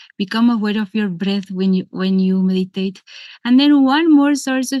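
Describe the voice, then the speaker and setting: With a strong Spanish accent, a woman talks at a fairly high pitch in a dry, close sound with no echo and a quiet background. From Argentina. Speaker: yoga and meditation teacher. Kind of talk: seminar talk. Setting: video call.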